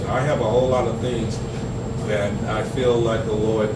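Loud background noise runs through the clip. The speaker is a man. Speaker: pastor leading a meeting. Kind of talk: informal teaching talk. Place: meeting room. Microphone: camera far.

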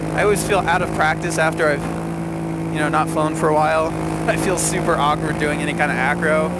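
Loud background noise, a moderate pace and a dry sound with no echo. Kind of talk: casual vlog chat. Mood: relaxed, musing. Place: open country. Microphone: helmet.

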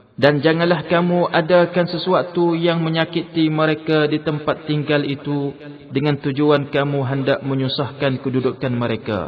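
Against noticeable background noise, a man talks at a fairly slow pace and fairly high pitch with fairly even intonation. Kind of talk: scripted translation reading of scripture. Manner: formal, measured, steady.

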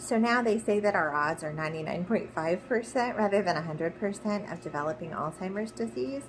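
A woman's fairly low voice at a fairly slow pace, with very wide pitch swings, hardly any pauses and noticeable background noise. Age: 40s. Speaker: video blogger sharing her Alzheimer's risk. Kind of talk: personal explainer monologue. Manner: some hesitations. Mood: calm, earnest, hopeful. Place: home room. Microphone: phone near.

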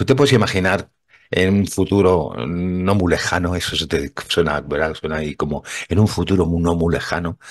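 Very deep, low male voice with ordinary pitch variation. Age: old. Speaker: radio host. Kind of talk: casual chat. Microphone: studio mic.

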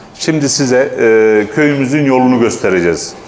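A man speaks at a medium pitch and a moderate pace, with ordinary pitch variation. There is audible room echo and light background noise. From Mersin Mut, Turkey. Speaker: village resident spokesperson. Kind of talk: interview statement. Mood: earnest complaint. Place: hall. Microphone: lapel.

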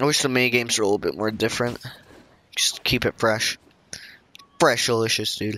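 A quiet man with a medium pitch speaks in fairly even intonation. Long, frequent pauses break his speech over noticeable background noise. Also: fairly quick pace. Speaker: gaming YouTuber. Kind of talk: let's play commentary.

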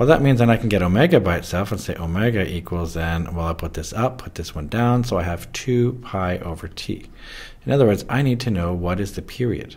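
A normal speaking voice from a man, fairly low in pitch, with lively intonation and a fairly quick pace. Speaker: physics teacher. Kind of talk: tutorial.

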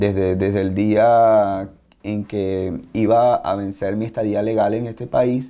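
The voice has a dark, mellow tone and a flat monotone. It moves at a fairly slow pace. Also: man. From Venezuela, Maracaibo; Venezuela. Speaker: martial arts instructor. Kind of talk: interview. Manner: halting. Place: office.

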